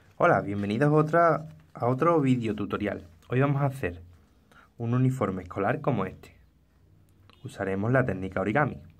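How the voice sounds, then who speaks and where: Audible room echo around a medium-pitched man, fairly quick, with long, frequent pauses. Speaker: crafts youtuber. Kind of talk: tutorial.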